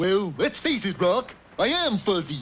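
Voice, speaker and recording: This cartoonish character voice sits at a middle pitch and keeps a moderate pace. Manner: dopey, cheerful.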